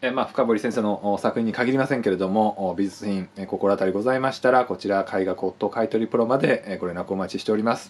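A man's fairly low-pitched voice at a fairly quick pace, with fairly even intonation and hardly any pauses. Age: 40s. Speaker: art buyer and appraiser. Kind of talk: sales pitch. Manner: formal, polite. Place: office. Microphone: phone near.

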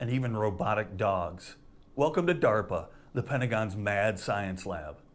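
A man's intonation is lively as he speaks at a moderate pace. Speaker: history channel host. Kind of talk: scripted educational short. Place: home room. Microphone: lapel.

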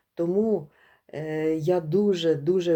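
Against a quiet background, a woman with a dark, mellow tone and a fairly low pitch speaks at a very slow pace with fairly even intonation. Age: 50s. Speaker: course participant giving a testimonial. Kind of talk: testimony.

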